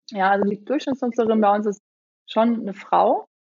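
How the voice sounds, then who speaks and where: A woman talks in an ordinary speaking voice at medium pitch. Her intonation is fairly even. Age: 40s. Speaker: startup founder. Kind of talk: interview.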